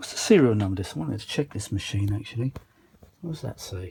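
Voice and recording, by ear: A man speaks with lively intonation in a dark, mellow tone. Vocal fry and a husky, rough edge run through his voice. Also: fairly low pitch for a man, fairly quick pace.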